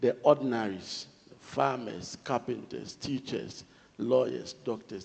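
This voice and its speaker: This man speaks with a Ghanaian accent at a moderate pace. His pitch is medium, with ordinary variation. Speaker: government official. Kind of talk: panel discussion. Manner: formal.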